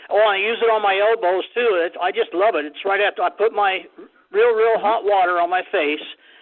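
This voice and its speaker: A man's high-pitched, fairly quick speech with fairly even intonation, over noticeable background noise. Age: 70s. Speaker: caller giving product testimonial. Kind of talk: phone-in testimonial.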